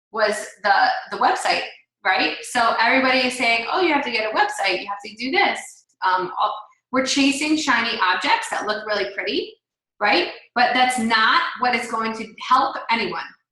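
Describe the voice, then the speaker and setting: A woman speaks at a moderate pace in a fairly high pitch, with lively intonation. Audible room echo surrounds her voice. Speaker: team leader. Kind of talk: team call presentation.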